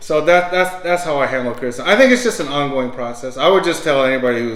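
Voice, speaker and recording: Through audible room echo and noticeable background noise, a man with a fairly high pitch speaks at a very fast pace with lively intonation. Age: 60s. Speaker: podcast host and author. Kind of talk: casual interview chat. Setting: home recording, on camera. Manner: repetitive, stammering restarts.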